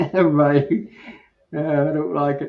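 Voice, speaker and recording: Audible room echo around a man with a fairly high pitch. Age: 80s+. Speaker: beekeeper. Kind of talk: casual chat.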